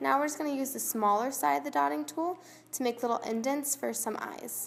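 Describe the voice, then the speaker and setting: With music playing behind her, a woman speaks fairly quickly in a high voice that swings very widely in pitch. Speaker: craft tutorial youtuber. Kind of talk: tutorial. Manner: casual, chatty.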